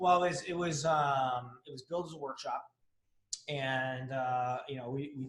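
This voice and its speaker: Somewhat breathy, a man talks at a moderate pace with fairly even intonation. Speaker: fear coach and author, former Navy bomb technician. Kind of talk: casual interview chat. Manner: quieter than the host.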